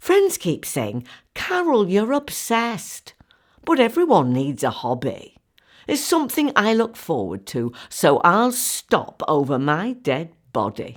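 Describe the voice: In a very clean recording with a silent background, a woman puts on a character voice, fairly low in pitch, with very wide pitch swings and a slow pace.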